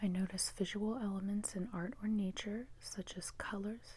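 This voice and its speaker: Soft-spoken and somewhat breathy, a woman talks fairly slowly at a medium pitch. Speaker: ASMR performer; meditation guide. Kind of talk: ASMR role play.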